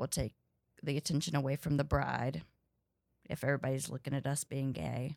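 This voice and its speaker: A woman's very deep, low voice with vocal fry and an American accent, monotone and flat, on a very clean recording with a silent background and a dry, close sound with no echo. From US South, North Carolina. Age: 30s. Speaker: comedian. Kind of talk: casual interview.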